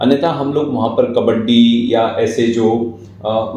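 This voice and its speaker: Amid noticeable background noise and audible room echo, a man speaks at a medium pitch with ordinary pitch variation. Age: 40s. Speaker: writer and guest speaker. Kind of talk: interview, reflective talk. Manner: formal.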